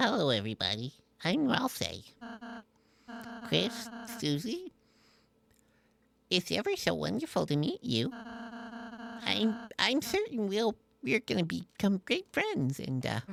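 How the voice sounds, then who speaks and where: Speaking in a put-on character voice, a man talks high in pitch at a fairly slow pace. He leaves long, frequent pauses, and the sound is dry and close, with no echo. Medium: game stream. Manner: soft, hesitant.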